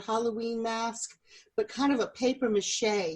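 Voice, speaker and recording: Her voice sits fairly high as a woman talks in an American accent. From US South, South Louisiana. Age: 60s. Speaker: podcast host. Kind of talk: storytelling.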